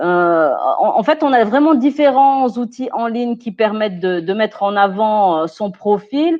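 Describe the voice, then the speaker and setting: Her voice is fairly high for a woman, and she speaks at a fairly slow pace. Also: lively intonation. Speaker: personal development expert. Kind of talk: webinar talk. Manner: hesitant, many fillers.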